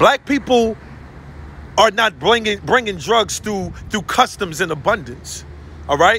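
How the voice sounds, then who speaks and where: A man speaks in a raised, projected voice at a fairly slow pace with lively intonation. The sound is dry with no echo, and there is light background noise. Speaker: social commentator. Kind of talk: impassioned vlog rant. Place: street. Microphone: phone near.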